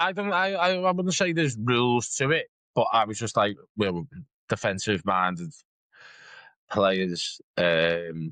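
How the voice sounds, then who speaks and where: With a northern English accent, a man with a medium-pitched, bright, sharp voice swings very widely in pitch and leaves long, frequent pauses against a quiet background. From northern England. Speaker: podcast co-host. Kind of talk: casual chat.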